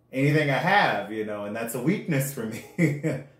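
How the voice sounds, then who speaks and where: Audible room echo surrounds a man speaking at a moderate pace and medium pitch with ordinary pitch variation. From US South, West Palm Beach, Florida. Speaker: podcast co-host. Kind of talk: casual chat.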